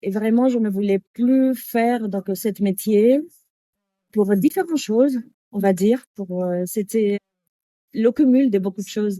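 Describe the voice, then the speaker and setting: In a Spanish accent, a woman speaks at a very slow pace with long, frequent pauses and ordinary pitch variation. Her fairly high voice has a dark, mellow tone in a dry, close sound with no echo. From Canary Islands, Spain (Tenerife). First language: Spanish (speaking French). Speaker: yoga teacher. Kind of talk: interview. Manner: halting.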